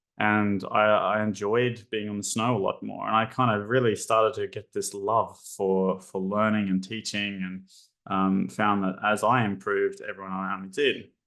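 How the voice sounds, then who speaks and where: In an Australian accent, this voice moves at a moderate pace with a monotone, flat intonation and hardly any pauses. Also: man, fairly low pitch for a man. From Australia, Brisbane. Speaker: psychology lecturer. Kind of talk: webinar presentation. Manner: hesitant, many fillers.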